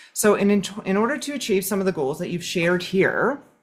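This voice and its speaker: A somewhat breathy woman's voice at medium pitch. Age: 40s. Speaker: flute teacher. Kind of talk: online webinar class.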